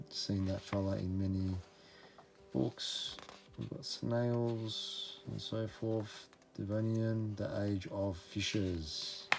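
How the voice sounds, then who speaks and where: Someone with an Australian accent talks at a very slow pace. Noticeable background noise runs underneath. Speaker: book reviewer, channel host. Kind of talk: casual book review.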